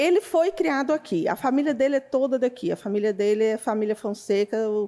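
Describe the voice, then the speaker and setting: The voice moves at a fairly quick pace with lively intonation, a dark, mellow tone and very even loudness. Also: woman, high pitch for a woman. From Goiás, Brazil. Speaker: psychologist. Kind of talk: interview.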